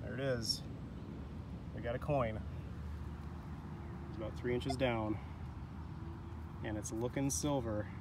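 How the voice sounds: A man talks at a slow pace and medium pitch, with fairly even intonation and long, frequent pauses.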